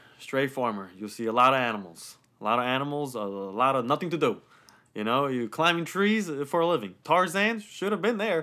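A bright, sharp tone in an American accent, with very wide pitch swings and a fairly quick pace, in a very clean recording with a silent background. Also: man, fairly high pitch for a man. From Romania, then New York and New Jersey. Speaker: podcast guest. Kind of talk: casual chat.

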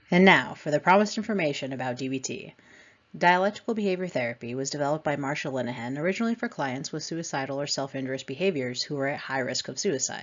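A woman with a very deep, low pitch and lively intonation, at a very fast pace. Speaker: podcast host and addiction counselor trainee. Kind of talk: scripted lecture-style podcast. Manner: reading from notes.

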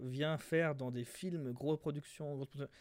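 The man's pitch is fairly high, and he talks at a very slow pace. The sound is dry and close with no echo. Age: 20s. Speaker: podcast co-host. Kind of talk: casual chat.

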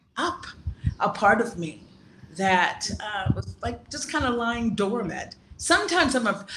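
With an American accent, an unremarkable speaking voice moves at a fairly slow pace, its lively intonation paired with big swings in loudness. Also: woman. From US East Coast (South Carolina, Washington D.C.). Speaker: grief doula and life coach. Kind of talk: interview. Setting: video call.

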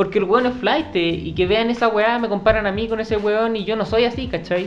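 At a moderate pace, a man with a high pitch speaks in a space with audible room echo. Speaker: podcast host. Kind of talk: casual chat. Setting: home studio.

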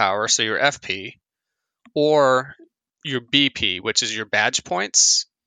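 A man's fairly slow speech with an American accent, bright and sharp in tone, with ordinary pitch variation, a dry, close sound with no echo and a quiet background. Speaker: video game podcast co-host. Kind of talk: casual chat.

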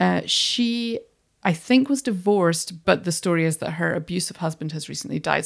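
A woman with a plain, everyday voice speaks at a moderate pace, her fairly low pitch moving with ordinary variation, on a very clean recording with a silent background. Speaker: podcast host. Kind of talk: casual chat.

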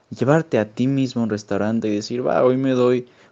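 A man at a medium pitch with a plain, everyday voice, moving at a fairly quick pace. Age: young. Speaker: podcast co-host. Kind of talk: casual chat.

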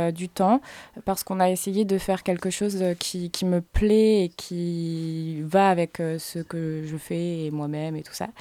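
This woman speaks at a very slow pace in a medium pitch with fairly even intonation and a dark, mellow tone, recorded very cleanly against a silent background with a dry, close sound and no echo. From Fresnes, Paris region. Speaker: singer and rapper. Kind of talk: radio interview.

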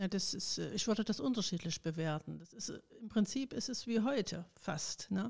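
Her voice somewhat breathy, a woman talks at a moderate pace in a medium pitch with ordinary pitch variation. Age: 60s. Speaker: retired trade union official. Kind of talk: interview.

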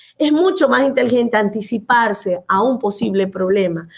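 A woman's animated tone, fairly high in pitch, with lively intonation at a moderate pace over noticeable background noise. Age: 50s. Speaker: physician and anti-aging coach. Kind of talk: interview.

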